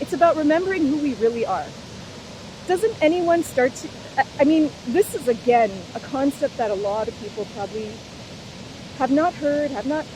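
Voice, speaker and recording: Loud and high-pitched, a woman speaks at a moderate pace with lively intonation and long, frequent pauses over noticeable background noise. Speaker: spiritual vlogger. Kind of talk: unscripted monologue. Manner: animated.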